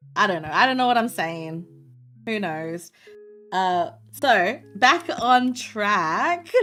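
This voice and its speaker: With music in the background, a woman with an Australian accent speaks very slowly at a fairly high pitch, her voice swinging very widely in pitch between long, frequent pauses. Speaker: VTuber streamer. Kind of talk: casual chat while drawing on stream. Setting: livestream. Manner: loud, projected voice. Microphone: audio levels off, sounded quiet.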